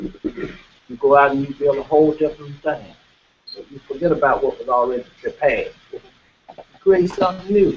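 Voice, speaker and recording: Speaking in a Mississippi accent, a man keeps a moderate pace. His loudness swings widely. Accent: US Southern, Mississippi. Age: 60s. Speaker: farmer and cooperative representative. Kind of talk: panel talk. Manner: halting.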